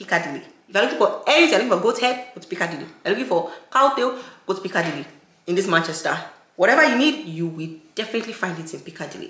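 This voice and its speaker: A woman at a very fast pace, with very wide pitch swings, big swings in loudness and audible room echo. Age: 20s. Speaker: lifestyle YouTuber. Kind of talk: vlog narration. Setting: shopping in stores. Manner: casual, chatty. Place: home room.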